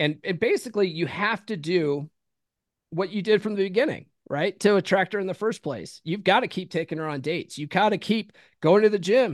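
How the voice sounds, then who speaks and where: Fairly quick delivery in a dry, close sound with no echo. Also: man, high pitch for a man, ordinary pitch variation, quiet background. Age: 40s. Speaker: author and podcast host. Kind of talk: casual interview.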